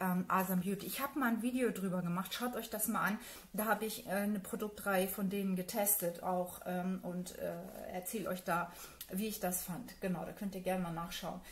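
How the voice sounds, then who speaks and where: Noticeable background noise accompanies a woman speaking at a moderate pace. Her pitch is medium, with ordinary variation. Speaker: beauty YouTuber. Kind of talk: unboxing video. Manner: many filler sounds.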